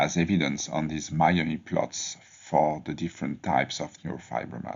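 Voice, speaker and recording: A man with a French accent. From France. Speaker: medical researcher. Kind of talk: scripted presentation of research. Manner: formal.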